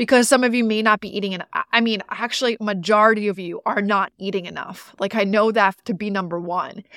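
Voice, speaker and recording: A woman with a fairly high voice speaks at a fairly quick pace in an animated tone, with big swings in loudness and hardly any pauses. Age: 30s. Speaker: fitness and nutrition coach, podcast host. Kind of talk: solo podcast monologue.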